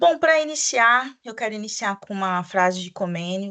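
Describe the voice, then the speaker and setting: Against a quiet background, a woman with a bright, sharp tone talks at a fairly slow pace and medium pitch. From Brazil, Mato Grosso do Sul (Campo Grande). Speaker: teacher trainer, Portuguese teacher. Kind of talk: online training presentation for teachers. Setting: recorded video presentation.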